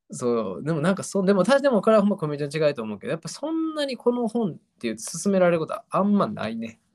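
Speaking very fast in a Kansai accent, a man with a high pitch lets his voice swing very widely up and down. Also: hardly any pauses. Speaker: podcast host. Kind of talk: casual chat.

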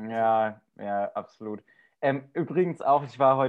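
With a normal speaking voice, a man talks at a medium pitch with fairly even intonation. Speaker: podcast co-host with an office job. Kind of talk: casual chat. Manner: chatty, humorous.

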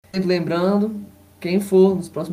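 A man speaks at a moderate pace. Room echo is audible around him. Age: 20s. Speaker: football fan commentator. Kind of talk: casual chat.

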